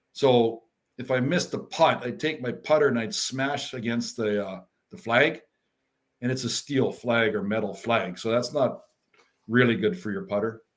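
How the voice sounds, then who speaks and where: An unremarkable speaking voice with a Canadian accent, lively intonation and a moderate pace. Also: man, medium pitch for a man. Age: 60s. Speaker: former professional hockey player. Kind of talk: casual chat.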